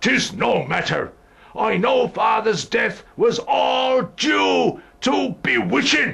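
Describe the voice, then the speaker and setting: A man shouting in a put-on character voice at a very slow pace. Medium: audio drama.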